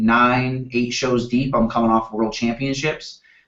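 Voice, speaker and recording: The voice belongs to a man. Its pitch is medium. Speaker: professional bodybuilder. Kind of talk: casual chat. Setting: video call. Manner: loud.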